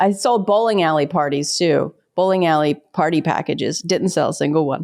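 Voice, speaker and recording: Speaking at a fairly quick pace with a slight Pittsburgh accent, a woman has a fairly low pitch, ordinary pitch variation, an animated tone and very even loudness. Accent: slight Pittsburgh accent, reduced by lessons. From Pittsburgh, US. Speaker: stand-up comedian and military spouse. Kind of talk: podcast interview.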